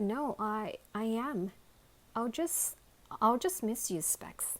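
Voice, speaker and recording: In a put-on character voice, a woman speaks shakily at a fairly slow pace, her fairly high pitch making very wide swings. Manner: nervous, sad.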